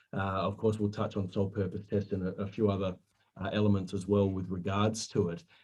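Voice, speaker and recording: With an Australian accent, a man speaks at a fairly quick pace in a dark, mellow tone with a fairly low pitch. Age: 40s. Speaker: superannuation compliance presenter. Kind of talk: webinar presentation. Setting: online webinar. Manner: halting, many fillers.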